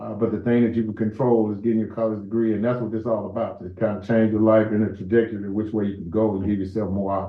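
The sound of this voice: Against audible room echo, a man talks fast with few pauses, his fairly low pitch showing little movement.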